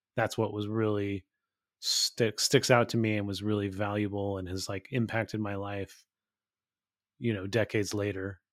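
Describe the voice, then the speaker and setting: A man with an American accent talks at a fairly low pitch in a monotone, flat delivery. The recording is very clean with a silent background and a dry, close sound with no echo. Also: moderate pace. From California, small town. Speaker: author and music podcaster. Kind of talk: interview.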